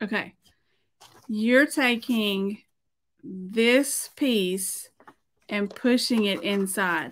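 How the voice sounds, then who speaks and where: A woman with a Southern US accent speaks at a very slow pace, leaving long, frequent pauses, her fairly high pitch moving with ordinary variation. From Middle Tennessee. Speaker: painter and former art teacher; former art teacher. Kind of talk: tutorial. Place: studio.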